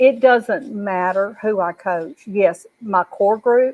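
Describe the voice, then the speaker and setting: A woman speaks in a normal speaking voice, fairly high in pitch with ordinary pitch variation. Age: 60s. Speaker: life coach. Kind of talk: panel testimony. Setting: live video broadcast.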